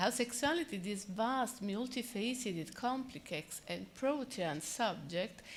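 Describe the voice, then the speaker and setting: Audible room echo and noticeable background noise surround the recording. A woman speaks at a fairly slow pace with an Italian accent. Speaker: psychoanalyst. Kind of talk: conference talk.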